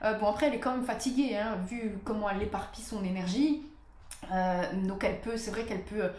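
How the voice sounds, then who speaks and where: The speech moves at a fairly quick pace with ordinary pitch variation. Noticeable background noise and audible room echo are present. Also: woman, fairly high pitch for a woman. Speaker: astrologer. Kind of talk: talking-head video monologue. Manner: hesitant, many fillers.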